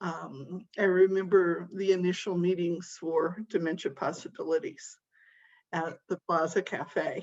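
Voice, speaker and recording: The voice moves at a fairly slow pace with fairly even intonation over a quiet background. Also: woman, fairly low pitch for a woman. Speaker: grief workshop presenter. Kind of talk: panel discussion.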